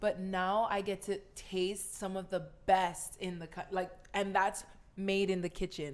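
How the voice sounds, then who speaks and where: A woman talks with a Hawaiian accent. Her pitch sits in the medium range. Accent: Hawaiian local English. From Hawaii, Kahaluu on Oahu. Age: 20s. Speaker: pro volleyball player. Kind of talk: casual chat. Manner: loud; animated.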